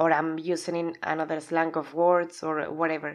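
A woman speaks with a Spanish accent at a moderate pace. The background is quiet. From Spain. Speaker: podcast host and aspiring life coach. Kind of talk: solo podcast monologue. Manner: loud; animated.

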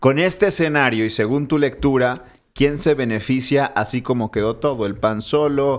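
A man talks at a moderate pace in a plain, everyday voice. His pitch is medium, with ordinary pitch variation. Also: very clean recording, silent background. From Monterrey, Mexico. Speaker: podcast co-host, political commentator. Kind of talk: casual chat. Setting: studio, filmed for video.

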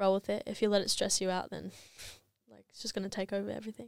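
On a very clean recording with a silent background, a woman's medium-pitched voice sounds dry and close with no echo, her intonation monotone and flat. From New Zealand. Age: 20s. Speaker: social media influencer. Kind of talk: casual interview chat. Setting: studio.

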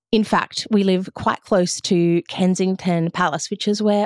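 Speaking in an Australian accent, a woman uses a medium pitch. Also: dry, close sound with no echo. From Western Australia (Margaret River). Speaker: podcast host and coach. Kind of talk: solo podcast monologue.

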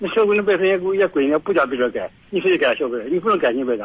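Noticeable background noise sits beneath delivery that races along very fast. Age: 60s. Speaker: caller. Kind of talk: phone-in chat. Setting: phone call. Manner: halting.

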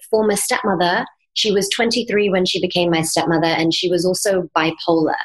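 Speaking with an American accent, a woman uses a normal speaking voice at medium pitch, with very even loudness and fairly even intonation. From England, then Miami, Florida from age 11. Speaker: mindset coach and yoga teacher. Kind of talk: interview.

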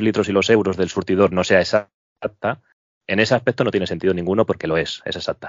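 A man is speaking. His pace is fairly quick. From Madrid, Spain. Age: 40s. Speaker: petrol station attendant. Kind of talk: casual interview chat.

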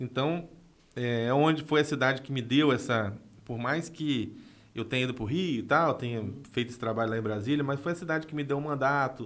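This is a man with an unremarkable speaking voice at medium pitch. He talks at a fairly quick pace with ordinary pitch variation. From Brazil, northern Rio de Janeiro state (São Francisco de Itabapoana). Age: 30s. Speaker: former city councillor, political adviser. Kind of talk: podcast interview.

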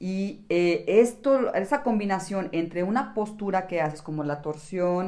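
A woman talks in an ordinary speaking voice at a medium pitch. Her pace is moderate. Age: 60s. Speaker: yoga instructor and podcast co-host. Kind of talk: casual chat.

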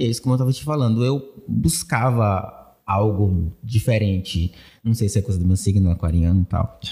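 A man's fairly low, dark and mellow voice, somewhat breathy, at a moderate pace with lively intonation. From Bahia, Brazil (Pojuca). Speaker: video editing content creator. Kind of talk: casual interview.

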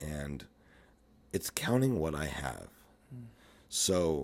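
Very deep and low, a man's voice shows vocal fry alongside lively intonation. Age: 50s. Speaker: fitness instructor and life coach. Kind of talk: casual chat.

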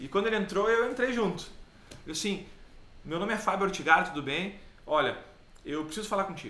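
Someone speaks in a raised, projected voice at a fairly quick pace with lively intonation and long, frequent pauses, amid audible room echo and noticeable background noise. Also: man, high pitch for a man. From Caxias do Sul, southern Brazil. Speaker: business trainer. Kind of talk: casual chat.

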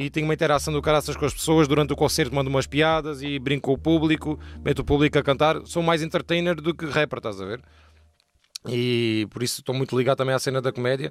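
Here a man talks at a very fast pace. His pitch is fairly high for a man. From Portugal. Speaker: streamer and rapper. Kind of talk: casual chat. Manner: animated.

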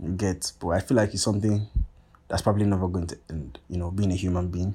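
Recorded very cleanly against a silent background, a man talks at a fairly quick pace in a very deep, low pitch, somewhat breathy and with fairly even intonation. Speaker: podcast host. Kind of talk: casual solo rambling monologue. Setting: self-recorded at home, paused and restarted. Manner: fast talker, says 'like' a lot; casual, slangy, rambling.

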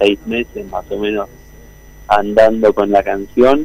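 A man's dark, mellow tone at a fairly slow pace. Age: 40s. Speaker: singer-songwriter. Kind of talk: interview.

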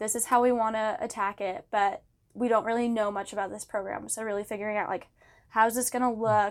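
A woman speaks in an ordinary speaking voice, fairly high-pitched with fairly even intonation, at a fairly quick pace on a very clean recording with a silent background. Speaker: university student. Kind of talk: interview. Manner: casual.

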